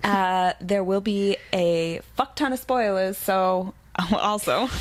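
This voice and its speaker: At a very slow pace and very even loudness, a woman with a slight Boston accent speaks at medium pitch with ordinary pitch variation. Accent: Boston accent, slight, coming out. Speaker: podcast co-host. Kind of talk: casual chat. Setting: coffee shop.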